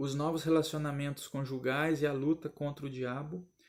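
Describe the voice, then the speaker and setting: His pitch fairly high, a man speaks in a monotone, flat way. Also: very clean recording, silent background. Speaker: Sunday school Bible teacher. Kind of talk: recorded Bible lesson commentary.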